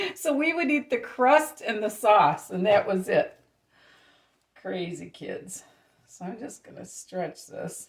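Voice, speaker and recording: At a very slow pace, a woman speaks with big swings in loudness. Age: 60s. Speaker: home cooking channel host. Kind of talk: cooking tutorial. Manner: casual, chatty.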